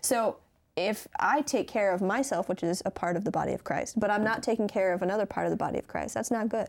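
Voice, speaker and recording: A woman with an American accent speaks very fast, with vocal fry. The recording is very clean, with a silent background. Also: medium pitch for a woman, ordinary pitch variation. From Michigan. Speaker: university student. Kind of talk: Bible study discussion.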